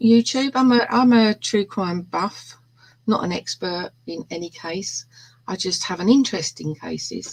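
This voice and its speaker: A woman with a London accent speaks at a fairly slow pace in a medium pitch. Her voice is somewhat breathy, with lively intonation. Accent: London accent, self-described rough and ready. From East End of London. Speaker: true crime hobbyist. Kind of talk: casual chat.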